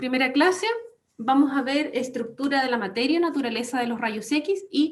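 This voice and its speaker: Audible room echo surrounds a woman who speaks at a fairly slow pace in a high pitch. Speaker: radiology lecturer. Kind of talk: online lecture.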